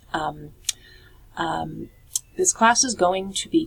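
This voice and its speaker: A woman with an American accent. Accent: New York accent, at times. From New York City. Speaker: college instructor. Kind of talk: course introduction video. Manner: casual, many filler words.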